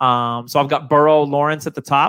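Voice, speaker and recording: A bright, sharp tone with an American accent. The pace is fairly quick. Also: man. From New Hampshire. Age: 40s. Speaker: fantasy football podcaster. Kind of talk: casual chat.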